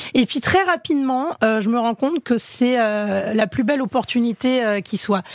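A woman talks at a fairly slow pace with lively intonation and a fairly high pitch. The sound is dry and close with no echo, and there is noticeable background noise. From Paris suburbs, France. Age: 40s. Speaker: chef. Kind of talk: interview.

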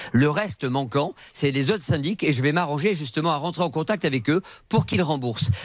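A man with an ordinary speaking voice, fairly high-pitched for a man, talks at a fairly quick pace with lively intonation and very even loudness. The recording is very clean, with a silent background. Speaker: radio negotiator. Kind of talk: radio show report.

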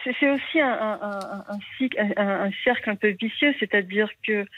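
A woman speaks at a medium pitch. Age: 40s. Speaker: caller. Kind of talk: testimony. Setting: phone call. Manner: halting.

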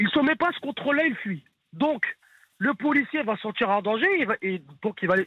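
His pitch is extremely high for a man and swings very widely. He speaks at a fairly slow pace. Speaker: caller. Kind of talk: heated debate. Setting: phone call.

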